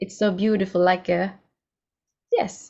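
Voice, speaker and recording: A woman speaks at a fairly slow pace in a medium pitch, her intonation monotone and flat. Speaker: podcast host. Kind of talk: podcast interview. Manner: halting.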